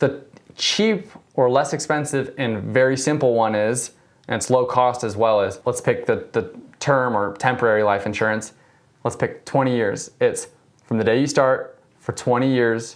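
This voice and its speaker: In a plain, everyday voice, the speaker keeps a moderate pace with ordinary pitch variation. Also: man, medium pitch for a man. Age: 20s. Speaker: insurance agent. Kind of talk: casual interview.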